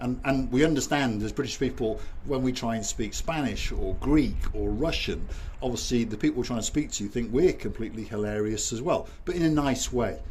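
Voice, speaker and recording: Audible room echo around a man talking at a fairly quick pace. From Wales. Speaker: YouTube vlogger. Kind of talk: casual chat. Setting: outdoors.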